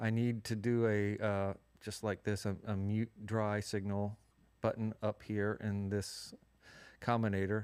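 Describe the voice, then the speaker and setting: Against a quiet background, a man talks at a moderate pace with a fairly low pitch and fairly even intonation. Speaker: music production tutorial host. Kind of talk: live stream tutorial. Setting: live stream. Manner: casual, halting. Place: studio.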